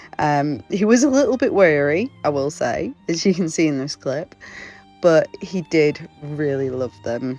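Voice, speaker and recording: The voice moves at a fairly slow pace with lively intonation, with music in the background. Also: woman, very deep, low pitch for a woman. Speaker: festival crochet trader. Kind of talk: casual vlog narration.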